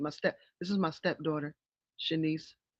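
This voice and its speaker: A woman speaks at a fairly quick pace with a fairly low pitch and an American accent. The background is quiet. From upstate New York. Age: 40s. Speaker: music producer and actress. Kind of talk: podcast interview. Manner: halting, many fillers.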